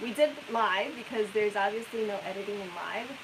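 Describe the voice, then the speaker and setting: A soft-spoken woman talks against noticeable background noise. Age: young. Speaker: RV travel vlogger. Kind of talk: live stream chat.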